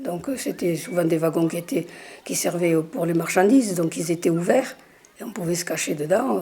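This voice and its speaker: Over noticeable background noise, a woman with a fairly low pitch speaks at a moderate pace. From southern France (Hérault). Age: 80s+. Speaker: local resident sharing childhood memories. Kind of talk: oral history testimony. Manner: hesitant, with fillers.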